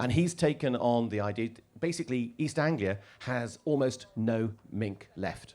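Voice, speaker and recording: At a medium pitch, a man speaks with ordinary pitch variation. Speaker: author and conservation speaker. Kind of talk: festival talk. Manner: fast.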